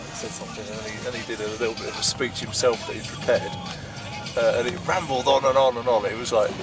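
A man talking at a very fast pace with ordinary pitch variation, dry sound with no echo, and clear music in the background. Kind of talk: casual anecdote chat. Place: car. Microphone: phone near.

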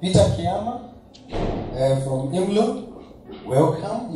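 Light background noise and audible room echo surround a man as he talks. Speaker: university official host. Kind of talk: ceremonial welcome speech. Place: hall.

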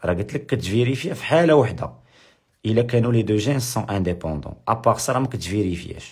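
Somewhat breathy, a man's voice makes very wide pitch swings amid audible room echo. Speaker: high school biology teacher. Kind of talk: lecture. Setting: live stream. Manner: repetitive.

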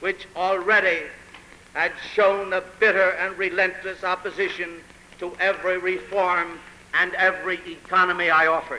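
A man with a high voice projects loudly in a flat monotone at a moderate pace. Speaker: mayoral candidate. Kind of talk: political campaign speech. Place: hall. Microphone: old recording.

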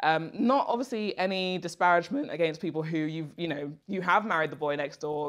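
Over a quiet background, a woman with a British accent speaks at a very fast pace, her pitch fairly low and her intonation lively. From England, Nigerian heritage. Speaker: dating talk guest; guest. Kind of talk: casual chat. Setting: studio sofa. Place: home room.

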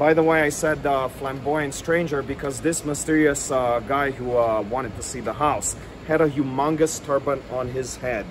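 A man's fairly high-pitched, animated voice at a moderate pace, with noticeable background noise. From New Orleans, US South. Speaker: local history tour guide and video storyteller. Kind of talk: true-crime narration. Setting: outdoors on location in front of the house. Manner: conversational storyteller, wry and tongue-in-cheek, with dramatic emphasis; animated, relishing gruesome details, some filler words. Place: street. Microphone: phone near.

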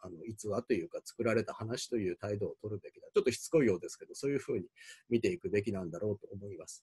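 A man rattles along at a very fast pace with a quiet background behind him. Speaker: university professor. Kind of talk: lecture. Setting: recorded video without live audience. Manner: halting, many fillers. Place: office. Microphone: webcam.

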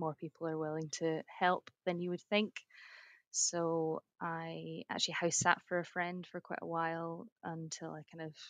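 A woman with a Scottish accent speaks fairly slowly at a fairly low pitch, in monotone, flat intonation. The sound is dry and close with no echo, over a quiet background. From Edinburgh, Scotland. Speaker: rural surveyor. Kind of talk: podcast interview answer.

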